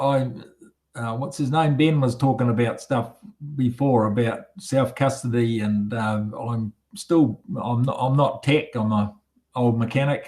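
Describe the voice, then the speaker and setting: Speaking at a fairly slow pace, a man with a medium pitch and a dark, mellow tone keeps his intonation fairly even, his voice somewhat breathy. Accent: New Zealand. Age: 70s. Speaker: retired mechanic, meetup attendee. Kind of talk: casual chat. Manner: halting.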